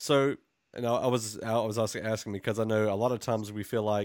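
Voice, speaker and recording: In a very clean recording with a silent background and a dry, close sound with no echo, a man with a fairly low voice talks at a fairly quick pace in a flat monotone. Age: 20s. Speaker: podcast host. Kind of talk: interview.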